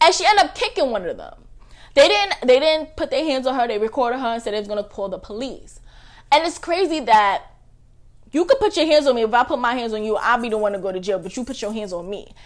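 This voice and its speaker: In a high pitch, a woman speaks very fast and in an animated tone, with very wide pitch swings and big shifts in loudness. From New York, Staten Island. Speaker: podcast host. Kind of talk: casual livestream chat.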